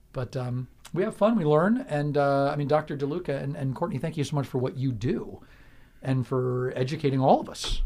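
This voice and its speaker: A man talks at a fairly quick pace. His voice is fairly high-pitched and somewhat breathy. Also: ordinary pitch variation. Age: 50s. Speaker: radio host. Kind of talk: radio interview. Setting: radio studio.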